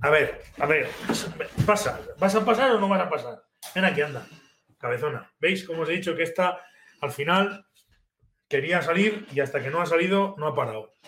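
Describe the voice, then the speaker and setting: A man speaks at a moderate pace with a high pitch and a bright, sharp tone. His pitch varies in an ordinary way, broken by long, frequent pauses. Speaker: fly fishing livestream host. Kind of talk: live stream chat with viewers. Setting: live video stream. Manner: halting, many fillers.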